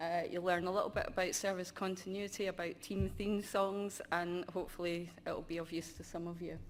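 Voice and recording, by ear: A woman talks at a fairly quick pace. Her pitch sits fairly low and barely moves.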